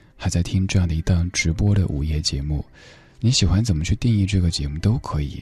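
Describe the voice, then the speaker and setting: A man's dark, mellow voice, somewhat breathy, with lively intonation at a fairly quick pace. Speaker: late-night radio host. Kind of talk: live late-night radio talk. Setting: radio studio. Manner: steady.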